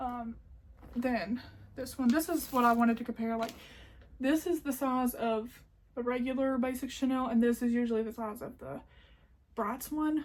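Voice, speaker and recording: A woman with an American accent, high-pitched, at a moderate pace. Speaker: crochet YouTuber. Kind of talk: haul video, casual chat to camera. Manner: animated.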